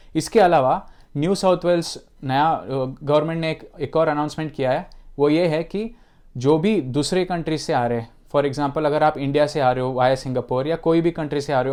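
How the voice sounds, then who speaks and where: A man with a non-native accent and fairly high pitch, at a moderate pace with ordinary pitch variation, against a quiet background. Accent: non-native Hindi. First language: not Hindi (speaking Hindi). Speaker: YouTuber giving immigration and travel updates. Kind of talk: informational vlog. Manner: hesitant, with self-corrections.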